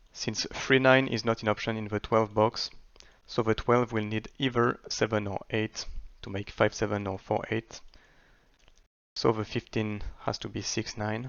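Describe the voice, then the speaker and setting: A man's fairly low voice, monotone and flat, at a fairly slow pace. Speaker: sudoku solver and video creator. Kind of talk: tutorial. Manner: hesitant with fillers.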